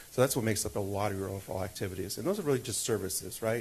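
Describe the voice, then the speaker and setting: A somewhat breathy man's voice, fairly low-pitched, at a very fast pace. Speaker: city finance officer. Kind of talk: budget presentation at council meeting.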